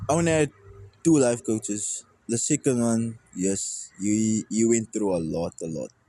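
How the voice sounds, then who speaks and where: A man speaks at a fairly slow pace in a medium pitch. His tone is dark and mellow. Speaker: musician. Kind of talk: casual chat. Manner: halting.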